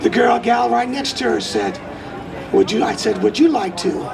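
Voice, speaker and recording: A man at a moderate pace with long, frequent pauses, audible room echo and crowd noise in the background. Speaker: political candidate. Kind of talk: campaign speech.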